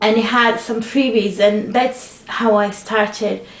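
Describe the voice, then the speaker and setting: Over noticeable background noise, a woman speaks at a fairly slow pace, her pitch fairly high and her intonation fairly even. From Portugal. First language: Portuguese. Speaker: craft video blogger. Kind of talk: casual vlog answering tag questions. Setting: at home, sunlight in room. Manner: loud.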